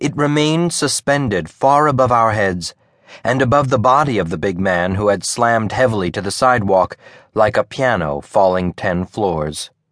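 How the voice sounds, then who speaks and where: A man's unremarkable speaking voice, fairly low in pitch, with lively intonation at a moderate pace against a quiet background. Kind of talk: audiobook narration of literary fiction. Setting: studio.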